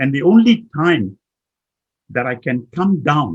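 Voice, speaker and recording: A man speaks at a very slow pace, somewhat breathy. His intonation is lively. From Malaysia, Kuala Lumpur. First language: Chinese. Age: 80s+. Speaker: management consultant and motivational speaker. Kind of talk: talk.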